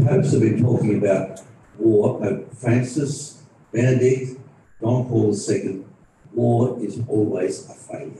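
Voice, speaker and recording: The man's mid-range voice unfolds at a fairly unhurried tempo. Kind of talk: panel talk. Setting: stage with audience, live streamed.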